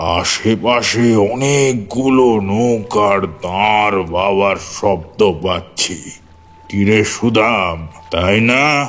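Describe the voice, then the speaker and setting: The speaker uses a put-on character voice. Delivery comes at a very slow pace. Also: man, fairly low pitch for a man. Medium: audio drama.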